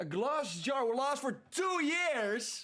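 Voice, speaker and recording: A man's raised, projected voice in a bright, sharp tone, with lively intonation. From Netherlands. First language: Dutch. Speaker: streamer. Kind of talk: casual chat. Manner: animated.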